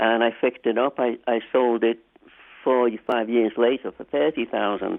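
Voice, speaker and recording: This man has a non-native accent. The intonation of his speech is fairly even. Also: medium pitch for a man, moderate pace. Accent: foreign accent, immigrant to Canada. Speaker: caller. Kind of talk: radio phone-in call. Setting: phone call. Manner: halting.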